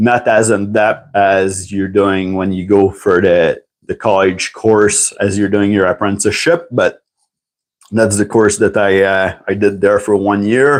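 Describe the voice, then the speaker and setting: At a fairly slow pace, a man with a French accent talks with a fairly low pitch and fairly even intonation. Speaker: tool reviewer and licensed mechanic. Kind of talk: casual livestream talk. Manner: halting, many fillers.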